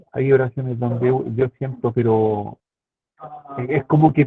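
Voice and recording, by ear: This is a man speaking. The sound is dry and close, with no echo.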